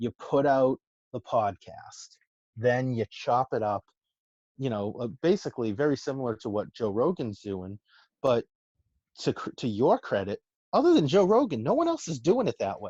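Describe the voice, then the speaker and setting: Against a quiet background, a man with a Massachusetts accent speaks at medium pitch with lively intonation and long, frequent pauses. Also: moderate pace. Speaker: entrepreneur and food influencer. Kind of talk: casual chat. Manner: halting, many repeats and fillers.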